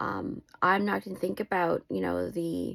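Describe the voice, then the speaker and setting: In a very clean recording with a silent background and a dry, close sound with no echo, a woman with a warm tone speaks at a fairly slow pace. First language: not English. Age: 40s. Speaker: lifestyle vlogger. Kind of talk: personal vlog monologue. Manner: warm, heartfelt direct address.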